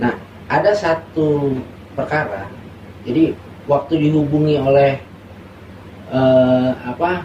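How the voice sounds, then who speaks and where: Against noticeable background noise, the speaker talks at a very slow pace with ordinary pitch variation and long, frequent pauses. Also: man, fairly high pitch for a man. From Jakarta, Indonesia (Moluccan parents). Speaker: lawyer. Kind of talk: interview.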